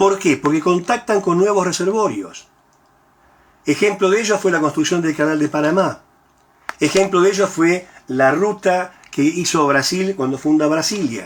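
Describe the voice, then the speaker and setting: A man's high-pitched voice at a fairly slow pace, with ordinary pitch variation and very even loudness. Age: 60s. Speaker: university professor. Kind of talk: lecture. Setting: recorded at home.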